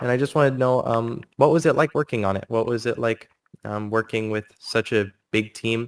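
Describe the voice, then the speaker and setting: A man talks with an unremarkable speaking voice at a medium pitch and with ordinary pitch variation, the sound dry and close with no echo. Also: fairly quick pace. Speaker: livestream host interviewing a cardist. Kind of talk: casual live interview.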